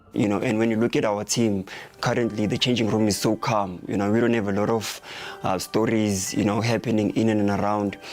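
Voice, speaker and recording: A man speaks at a fairly quick pace in a fairly low, monotone voice with very even loudness, over noticeable background noise. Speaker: football club captain. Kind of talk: interview. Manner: calm, measured.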